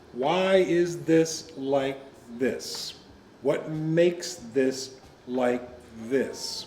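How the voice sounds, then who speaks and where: A man speaks with ordinary pitch variation. Audible room echo surrounds his voice. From US Midwest, Joliet, Illinois. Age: 70s. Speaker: retired teacher and college professor. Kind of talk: interview.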